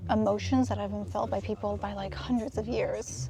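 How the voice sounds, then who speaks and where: Noticeable background noise runs beneath a woman who speaks at a fairly quick pace. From Canada. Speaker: travel companion. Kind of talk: casual chat.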